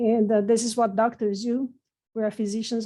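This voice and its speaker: Over a quiet background, a woman with a non-native accent speaks in a dark, mellow tone at a fairly high pitch, her intonation monotone and flat. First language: not English. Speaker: renal pathologist, professor. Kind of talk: lecture.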